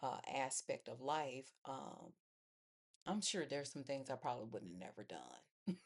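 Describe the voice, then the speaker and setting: A woman's very deep, low voice sounds strained and carries vocal fry. Her intonation is lively while her pace stays fairly slow. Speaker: faith vlogger. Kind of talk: personal testimony monologue. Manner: low, restrained pitch; halting with fillers.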